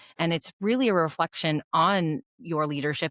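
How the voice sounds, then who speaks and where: With an ordinary speaking voice, a woman speaks at a moderate pace and a fairly low pitch with ordinary pitch variation, in a very clean, dry, close recording with no echo and a silent background. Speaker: dentist and practice owner. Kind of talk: podcast interview.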